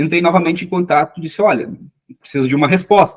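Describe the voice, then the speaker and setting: Dry and close with no echo, a man with a fairly high pitch speaks with a strong southern Brazilian accent. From southern Brazil, Rio Grande do Sul. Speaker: legal assistant and sworn translator. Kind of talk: interview. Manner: halting, many fillers.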